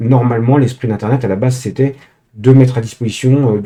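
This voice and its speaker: Dark and mellow in tone and somewhat breathy, a man's voice moves at a fairly quick pace with monotone, flat intonation. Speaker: tech tutorial youtuber. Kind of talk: tutorial. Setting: screen recording. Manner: hesitant, many filler sounds.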